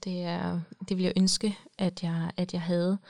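A woman with a fairly low pitch speaks very slowly in a monotone, flat intonation on a very clean recording with a silent background. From Denmark. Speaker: psychologist. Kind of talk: casual chat.

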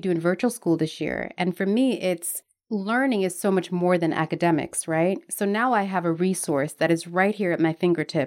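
An unremarkable speaking voice from a woman with an American accent, medium pitch, ordinary pitch variation and a moderate pace, in a very clean recording with a silent background. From Jamaica, then Newark, New Jersey. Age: 30s. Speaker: writer and homeschooling mother. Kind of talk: casual interview.

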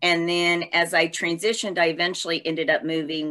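A woman talks in a bright, sharp tone. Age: 50s. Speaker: entrepreneur and speaker on change. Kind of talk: interview.

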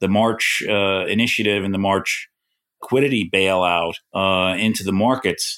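A man speaks with a New York accent and fairly even intonation. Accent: New York-type. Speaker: financial news journalist. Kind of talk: casual chat.

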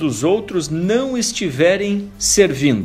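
Calm in tone, a man speaks with very wide pitch swings. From southern Brazil, interior of Santa Catarina (Mafra). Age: 40s. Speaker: podcast host, career coach. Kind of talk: motivational podcast monologue. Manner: calm, direct address to listener.

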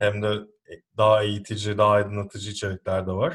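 A man with a fairly low pitch and a somewhat breathy voice speaks at a fairly quick pace against a quiet background. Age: 30s. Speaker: podcast host. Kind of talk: interview; scripted intro.

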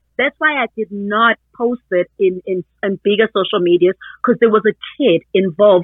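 A woman with a Zulu accent at a moderate pace and ordinary pitch variation. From South Africa, Durban, KwaZulu-Natal. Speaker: parent and social media user. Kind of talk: interview.

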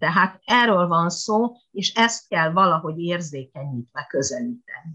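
A woman talks with lively intonation at a fairly low pitch for a woman. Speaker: retired Japanese language lecturer. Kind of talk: interview. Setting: internet call.

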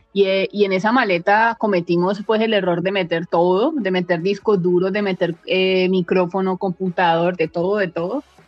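A woman speaks at a medium pitch and a moderate pace with hardly any pauses. She has a normal speaking voice and fairly even intonation. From Colombia, Valle del Cauca (Palmira). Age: 30s. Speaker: travel photographer. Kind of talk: interview.

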